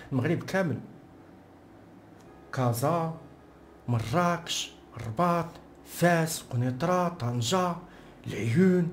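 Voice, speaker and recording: A man with a Moroccan accent, high in pitch, with lively intonation, very even loudness and long, frequent pauses. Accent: Moroccan Arabic (Darija). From Morocco. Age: young. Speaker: political commentator. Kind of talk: casual commentary to camera.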